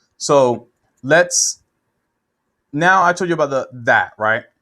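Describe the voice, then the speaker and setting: Recorded very cleanly against a silent background, a man talks at a fairly slow pace with a bright, sharp tone, a fairly high pitch and ordinary pitch variation. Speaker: web marketing consultant. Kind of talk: screen-share tutorial. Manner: casual, with repetitions and fillers.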